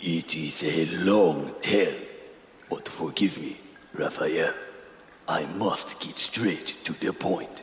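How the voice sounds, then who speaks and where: Over clear background noise and a slight echo, a man with a fairly low pitch does a put-on character voice at a very slow pace, with long, frequent pauses. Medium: audio drama. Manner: formal, solemn.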